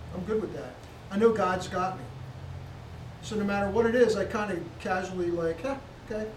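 A man with a high pitch talks at a fairly quick pace, with long, frequent pauses. Noticeable background noise can be heard. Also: ordinary pitch variation. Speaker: congregation member.

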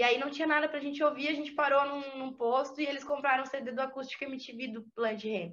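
A woman's high-pitched voice at a very fast pace with fairly even intonation. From interior of Santa Catarina, Brazil. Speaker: rapper and music producer. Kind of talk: interview conversation.

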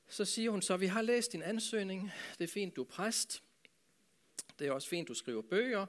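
There's lively intonation as a man speaks at a moderate pace. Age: 60s. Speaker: pastor. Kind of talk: talk to a church audience.

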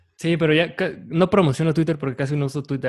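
This man's voice sits fairly high. He talks in a Mexican accent. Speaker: podcast host. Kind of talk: casual chat. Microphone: new microphone.

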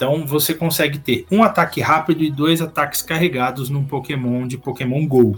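A man at a moderate pace, fairly high in pitch, with ordinary pitch variation and hardly any pauses. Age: 40s. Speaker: Pokémon player. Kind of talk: casual chat. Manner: animated.

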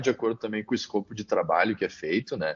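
A man with a southern Brazilian accent and a fairly low pitch. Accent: southern Brazilian (gaúcho). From Caxias do Sul, Rio Grande do Sul, Brazil. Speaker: company CEO and founder. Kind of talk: interview.

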